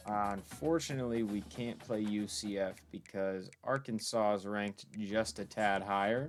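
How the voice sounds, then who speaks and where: With music in the background, a man talks with hardly any pauses and ordinary pitch variation. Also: fairly low pitch for a man, moderate pace. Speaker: gaming YouTuber. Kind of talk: casual gameplay commentary. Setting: bedroom.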